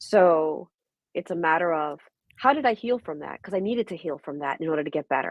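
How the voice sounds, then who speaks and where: With a New York accent, a woman talks at a fairly quick pace in a fairly low pitch, her intonation lively and her loudness swinging widely. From Brooklyn, New York. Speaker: registered nurse and holistic wellness coach. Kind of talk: interview answer.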